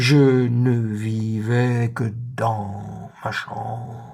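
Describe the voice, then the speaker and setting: At a very slow pace, a man speaks at medium pitch. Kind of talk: literary letter reading. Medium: read story. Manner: measured, intimate.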